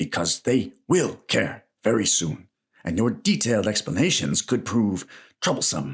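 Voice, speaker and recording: A man's put-on character voice, medium in pitch with very wide pitch swings, at a moderate pace. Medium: read story. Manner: scornful, forceful.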